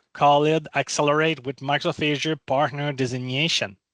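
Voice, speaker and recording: A man speaks at a moderate pace against a quiet background, in a dry, close sound with no echo. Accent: non-native. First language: not English. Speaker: cloud program manager. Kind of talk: webinar presentation. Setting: online webinar.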